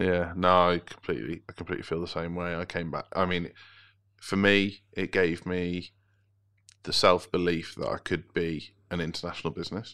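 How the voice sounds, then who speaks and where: A man speaks at a moderate pace in a very deep, low voice, his tone bright and sharp and his intonation flat and monotone, on a very clean recording with a silent background. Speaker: podcast host. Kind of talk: casual interview chat.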